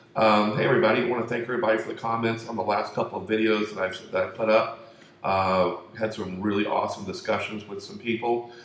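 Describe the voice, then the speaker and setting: Soft-spoken and fairly low-pitched, a man talks with ordinary pitch variation in a room with audible echo and noticeable background noise. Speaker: conspiracy video host. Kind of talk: casual monologue. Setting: room at home. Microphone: room echo.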